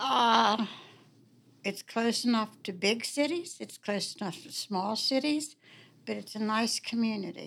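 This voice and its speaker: A woman's fairly high, unremarkable speaking voice with an American accent, at a fairly slow pace with ordinary pitch variation and big swings in loudness, on a very clean recording with a silent background. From Warwood, Wheeling, West Virginia. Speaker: longtime homeowner telling ghost stories. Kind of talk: storytelling.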